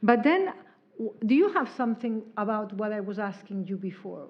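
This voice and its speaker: A woman with a Spanish accent, medium in pitch, at a moderate pace with ordinary pitch variation. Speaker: interviewer, event moderator. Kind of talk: interview.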